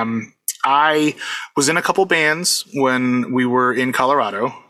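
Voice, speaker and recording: In a plain, everyday voice, the man talks at medium pitch, his pitch varying in an ordinary way. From US, Puerto Rican family. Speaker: convention DJ and music producer. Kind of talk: casual interview.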